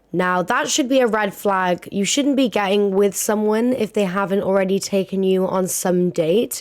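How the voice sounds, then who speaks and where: With very even loudness and hardly any pauses, a woman talks at a medium pitch. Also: ordinary pitch variation, moderate pace. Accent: British. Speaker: podcast host. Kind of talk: casual chat. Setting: home recording at a desk. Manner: animated.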